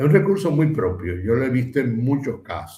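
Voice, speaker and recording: A man at medium pitch with a Dominican accent, dark and mellow in tone, somewhat breathy, at a moderate pace, with audible room echo. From Dominican Republic. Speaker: philosopher, former university administrator. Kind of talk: interview conversation.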